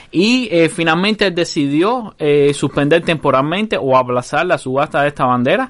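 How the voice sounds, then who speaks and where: A man with an unremarkable speaking voice talks at a fairly high pitch. His intonation is lively and his loudness very even. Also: moderate pace. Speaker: podcast host. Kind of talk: casual chat.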